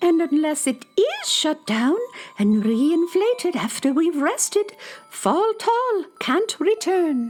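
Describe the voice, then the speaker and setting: Pitched extremely high, the put-on character voice swings very widely at a fairly slow pace. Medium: audio drama.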